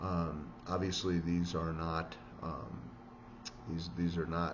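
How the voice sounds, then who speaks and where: A man's very deep, low voice with an American accent, over noticeable background noise. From US Midwest, Chicago area (Evanston). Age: 60s. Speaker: vlogger, investment professional and amateur swimmer. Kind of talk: casual vlog monologue. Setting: solo recording to camera. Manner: halting, many fillers and repetitions. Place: home room. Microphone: webcam.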